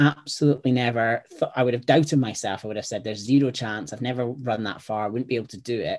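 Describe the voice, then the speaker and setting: A man's medium-pitched voice in a Scottish accent, very fast with hardly any pauses, ordinary pitch variation and big swings in loudness. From Scotland. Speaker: startup founder and educator. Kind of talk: casual interview chat.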